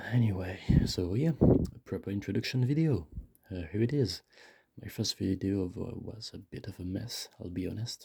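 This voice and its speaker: A man's voice has a dark, mellow tone and is somewhat breathy. His pitch varies in an ordinary way. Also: fairly low pitch for a man, moderate pace. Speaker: vlogger. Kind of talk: casual monologue. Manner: halting. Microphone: too close to the mic.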